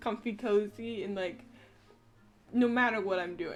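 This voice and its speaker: With music playing in the background, a woman speaks at a moderate pace. Her pitch is fairly high and her intonation fairly even. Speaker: streamer. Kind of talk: casual chat. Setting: live stream at home.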